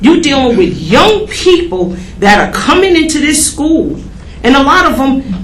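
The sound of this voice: Amid audible room echo, a woman speaks fairly slowly at a high pitch with big pitch swings.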